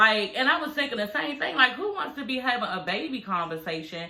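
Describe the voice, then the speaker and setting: Noticeable background noise sits behind a woman with an American accent. She sounds animated and speaks at a fairly high pitch. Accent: DC accent, some call it heavy. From Washington DC. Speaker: reality TV recap commentator. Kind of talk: casual recap commentary. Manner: animated, conversational.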